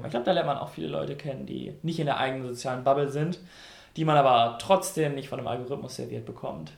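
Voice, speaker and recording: Amid audible room echo, a man talks at a very fast pace with vocal fry. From North Rhine-Westphalia, Germany. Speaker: radio host. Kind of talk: casual chat.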